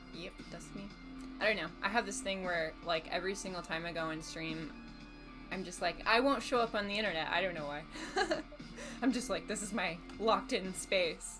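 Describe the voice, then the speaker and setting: Over music in the background, a woman talks at a moderate pace with lively intonation and a medium pitch. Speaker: streamer. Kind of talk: casual livestream talk.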